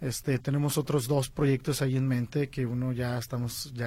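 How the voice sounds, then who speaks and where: A man speaks in a fairly high voice with a somewhat breathy quality. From Guadalajara, Mexico. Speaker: film director and producer. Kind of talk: interview.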